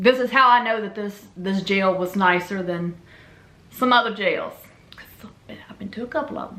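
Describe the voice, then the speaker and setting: In a Memphis accent, a woman speaks at a moderate pace and medium pitch, with ordinary pitch variation. Her loudness swings widely, and she leaves long, frequent pauses. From Louisiana. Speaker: YouTuber telling personal story. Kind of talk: storytelling monologue. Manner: casual, animated.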